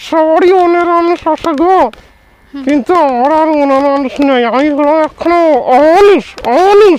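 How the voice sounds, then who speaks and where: A cartoonish character voice from a man, pitched extremely high. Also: moderate pace. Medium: puppet.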